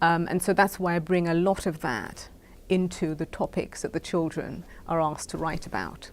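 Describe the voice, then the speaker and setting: The speaker has a British accent and fairly even intonation. The pace is moderate on a very clean recording with a silent background. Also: woman, fairly low pitch for a woman. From Caribbean. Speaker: founder of a children's essay contest. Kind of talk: interview.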